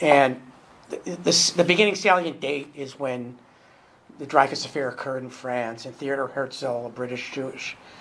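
A man with an American accent, ordinary pitch variation and noticeable background noise. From New York City. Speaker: activist. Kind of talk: panel discussion.

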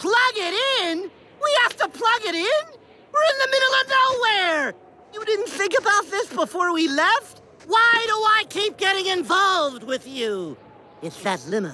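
A woman uses a cartoonish character voice at an extremely high pitch, bright and sharp in tone, with big pitch swings. She moves at a fairly slow pace with few pauses.

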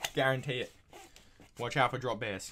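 A man with an Australian accent, medium pitch and ordinary pitch variation, over light background noise. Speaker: YouTuber reacting to videos. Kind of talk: casual reaction commentary. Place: home room.

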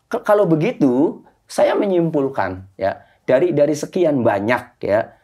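The background stays quiet. Here a man's dark, mellow tone carries ordinary pitch variation. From Indramayu, West Java, Indonesia. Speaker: lawyer. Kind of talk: podcast interview. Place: studio.

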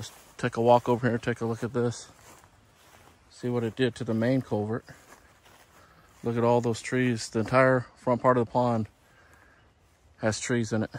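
A man at medium pitch and moderate pace, slightly mellow in tone, with little pitch movement and long, frequent pauses

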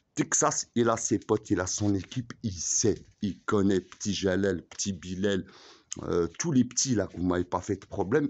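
At a moderate pace, a man speaks in a fairly low pitch. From Algeria. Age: 40s. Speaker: vlogger; self-styled boss vlogger. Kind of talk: rant; casual vlog rant. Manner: halting. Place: street. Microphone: phone near.

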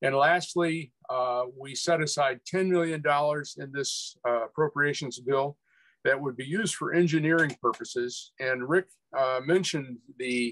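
Over a quiet background, a man with a normal speaking voice talks at a moderate pace, using ordinary pitch variation at a fairly high pitch. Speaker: rail advocate; panelist. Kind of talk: webinar presentation. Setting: video call. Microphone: video call.

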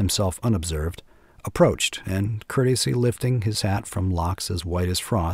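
Someone reads text aloud. The voice is natural.

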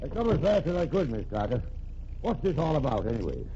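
A gruff put-on character voice from a man, fairly high in pitch, at a very fast pace. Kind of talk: 1940s radio acting. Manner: gruff, plain-spoken, ungrammatical.

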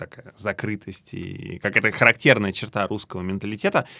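Against a quiet background, a man with a fairly low pitch and a bright, sharp tone talks at a fairly quick pace in a monotone, flat intonation. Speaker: podcast host. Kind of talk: interview, casual conversation. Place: studio.

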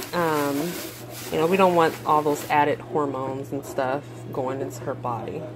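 A woman speaks at a moderate speed with ordinary pitch variation, noticeable background noise behind her. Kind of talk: casual vlog chat. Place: kitchen. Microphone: phone near.

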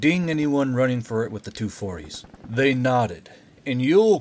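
The reading voice sounds unforced. It stays that way throughout.

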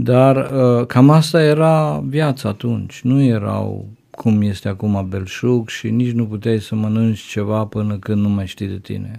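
Against a quiet background, a man with a dark, mellow tone speaks at a fairly slow pace. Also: ordinary pitch variation. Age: 50s. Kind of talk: interview testimony.

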